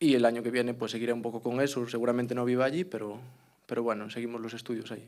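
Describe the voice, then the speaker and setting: A man with a Galician accent talks very fast at medium pitch. His intonation is fairly even, with audible room echo. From Galicia, Spain. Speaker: clarinetist. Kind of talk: interview. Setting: auditorium with live audience.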